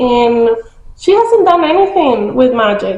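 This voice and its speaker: A woman with a high voice talks very slowly, her intonation lively and full of movement. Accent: non-native. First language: not English. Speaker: book vlogger. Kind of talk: casual book review vlog. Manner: casual, hesitant with many fillers.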